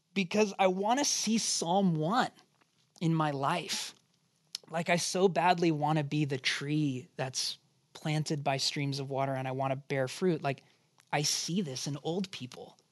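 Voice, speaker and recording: A man with an ordinary speaking voice, fairly high in pitch, at a fairly slow pace with ordinary pitch variation, over a quiet background. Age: 30s. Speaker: pastor. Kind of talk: Bible study teaching. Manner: conversational.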